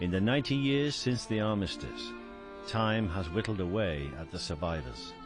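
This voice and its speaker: Over music in the background, a man speaks with a very deep, low pitch and very wide pitch swings. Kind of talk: documentary narration.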